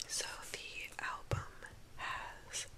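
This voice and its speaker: Whispering against noticeable background noise. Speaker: ASMR creator. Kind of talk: ASMR whispered talk about a record collection. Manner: close, whispered, soft-spoken.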